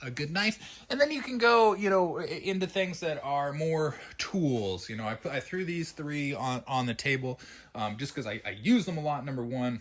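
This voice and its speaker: In an American accent, a man with a fairly high pitch speaks with very wide pitch swings. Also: moderate pace. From US South. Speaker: knife reviewer, channel host. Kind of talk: casual show-and-tell review. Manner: halting, many fillers.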